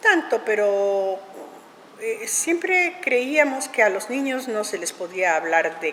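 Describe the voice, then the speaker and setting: A woman's voice with very wide pitch swings, against noticeable background noise. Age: 70s. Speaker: puppet theatre director. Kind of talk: interview. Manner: halting.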